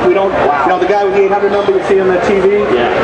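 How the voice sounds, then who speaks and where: Crowd noise fills the background as a man talks. He speaks very fast with ordinary pitch variation. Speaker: guest. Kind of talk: interview answer. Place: tent. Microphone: camera far.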